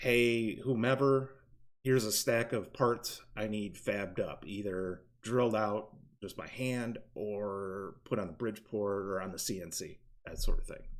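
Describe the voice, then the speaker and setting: A man at a fairly low pitch, fairly even in intonation and fairly slow in pace. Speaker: robotics team mentor teaching CAD. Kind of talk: tutorial. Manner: hesitant, many fillers.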